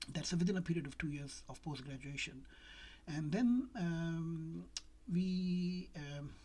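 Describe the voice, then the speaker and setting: A woman with a non-native accent speaks at a very slow pace, her fairly low, somewhat breathy voice showing ordinary pitch variation and big swings in loudness amid audible room echo. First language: not English. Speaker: doctor. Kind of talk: casual talk to camera. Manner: hesitant, many fillers.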